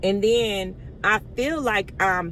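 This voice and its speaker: The woman's tone is animated. Her words carry audible room echo. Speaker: vlogger, stay-at-home mom. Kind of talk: casual storytelling to camera. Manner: halting at times, speech difficulty from medication.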